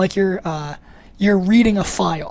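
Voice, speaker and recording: A woman speaks at a very fast pace. Her pitch is medium and varies in an ordinary way. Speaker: programming instructor. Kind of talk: webinar lecture. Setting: online webinar. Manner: casual, many fillers.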